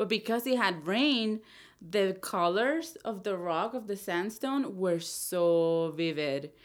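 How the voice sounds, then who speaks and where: A woman speaks at a very slow pace with an Spanish accent and lively intonation. The recording is very clean, with a silent background. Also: medium pitch for a woman. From El Salvador. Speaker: outdoor hiking enthusiast. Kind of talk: casual chat.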